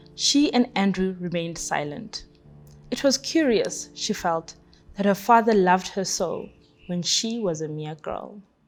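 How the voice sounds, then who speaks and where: A woman speaks at a fairly slow pace with lively intonation, music playing in the background. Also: medium pitch for a woman. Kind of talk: book excerpt reading.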